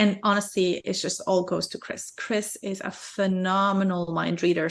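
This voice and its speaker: A woman at a moderate pace, medium-pitched and monotone with flat intonation, over a quiet background. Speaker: video game developer. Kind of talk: interview.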